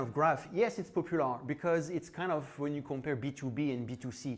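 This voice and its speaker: With a French accent, a man speaks at a moderate pace in a fairly high pitch, his intonation lively. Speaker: conference speaker. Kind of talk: tech talk. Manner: casual, hesitant with fillers.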